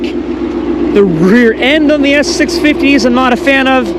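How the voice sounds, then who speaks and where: Male speech with ordinary pitch movement, noticeable background noise and audible echo from the room. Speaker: car vlogger. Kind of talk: casual vlog talk. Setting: in a car.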